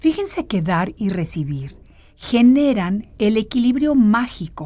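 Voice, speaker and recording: Somewhat breathy and dark, mellow in tone, a woman speaks with lively intonation on a very clean recording with a silent background. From Mexico. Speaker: radio host. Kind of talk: motivational monologue.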